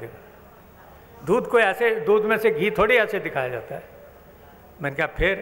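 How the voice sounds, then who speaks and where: His loudness swings widely and his intonation is lively. The man has a high pitch and leaves long, frequent pauses. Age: 80s+. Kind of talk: religious discourse to assembly.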